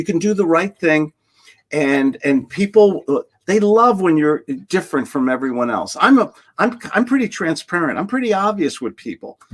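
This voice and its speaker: A man's high voice in a New York accent, very wide pitch swings, moderate pace, dry and close with no echo. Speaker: sales trainer. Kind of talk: podcast interview. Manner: animated.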